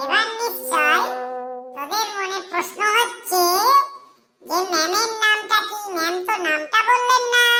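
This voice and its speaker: Over music in the background, a woman uses a cartoonish character voice at an extremely high pitch and a moderate pace. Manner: bossy, exclamatory.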